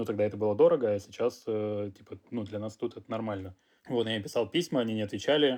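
A man speaks at a very fast pace. His loudness swings widely while his pitch varies in an ordinary way. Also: fairly low pitch for a man. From Russia. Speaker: clothing designer and entrepreneur. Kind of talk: interview. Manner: casual, slangy.

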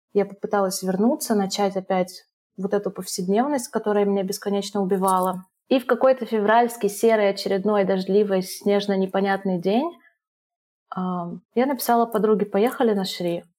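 On a very clean recording with a silent background, a woman talks at a moderate pace with a dark, mellow tone and ordinary pitch variation. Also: medium pitch for a woman. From Russia (family moved around; Moscow from 2004). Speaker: expat entrepreneur, former guesthouse owner. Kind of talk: casual interview.

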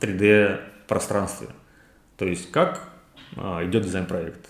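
A very slow man's voice, fairly low in pitch, with audible room echo. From Ryazan region, Russia. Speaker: interior designer. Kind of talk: interview.

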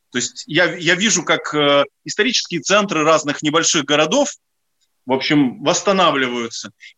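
A man speaks at a moderate pace with very even loudness. His pitch is fairly high, with ordinary pitch variation. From Ukraine, Odesa. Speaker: historian and commentator. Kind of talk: radio interview. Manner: halting, many fillers.

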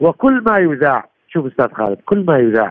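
A man's voice sits high in pitch and swings very widely up and down. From Iraq. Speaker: military analyst, retired general. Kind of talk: radio interview.

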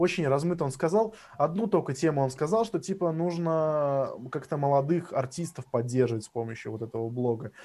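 A man's dark, mellow voice, fairly high in pitch, with lively intonation. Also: fairly quick pace. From Russia, Samara. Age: 20s. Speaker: drum and bass producer. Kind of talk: casual chat.

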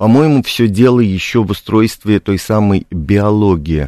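Recorded very cleanly against a silent background, a man with a fairly low pitch speaks at moderate pace with ordinary pitch variation in a dry, close sound with no echo. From Białystok, Poland. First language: Polish (speaking Russian). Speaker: playwright and theatre director. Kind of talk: radio interview. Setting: radio studio.

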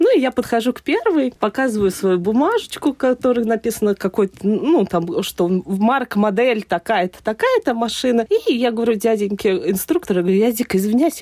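Recorded dry and close with no echo, a woman has an unremarkable speaking voice, fairly high in pitch, talking at a fairly quick pace with lively intonation. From Saratov, Russia. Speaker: event host, former engineer. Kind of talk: casual interview. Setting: studio.

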